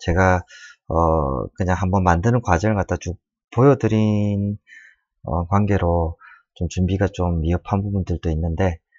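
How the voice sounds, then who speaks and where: This voice belongs to a man. He varies his pitch in an ordinary way. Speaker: design tutorial maker. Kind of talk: tutorial. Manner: halting, many fillers.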